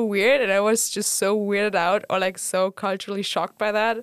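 A woman with a German accent speaks at a medium pitch and a moderate pace. Her intonation is monotone and flat, in a dry, close recording with no echo. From Germany. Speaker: student association board member. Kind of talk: casual chat.

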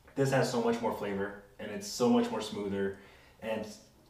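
A man with an American accent at a medium pitch and moderate pace, fairly even intonation, noticeable background noise and audible room echo. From California Central Coast. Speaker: tequila enthusiast. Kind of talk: casual chat.

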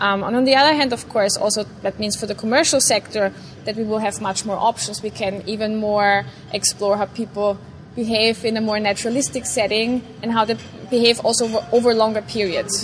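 A woman keeps her intonation fairly even while noticeable background noise carries on. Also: fairly high pitch for a woman, fairly quick pace. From Vienna, Austria. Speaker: neuroscientist. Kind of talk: interview. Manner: hesitant, many fillers.

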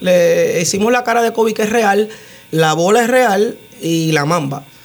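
Lively in intonation and high-pitched for a man, a man talks at a fairly slow pace with noticeable background noise around him. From Puerto Rico, Utuado. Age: 30s. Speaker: muralist and tattoo artist. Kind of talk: radio interview. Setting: radio studio.

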